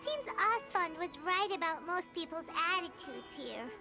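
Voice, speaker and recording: A put-on character voice sits at an extremely high pitch at a moderate pace. Clear background noise runs behind it. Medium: video game. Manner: earnest, expressive.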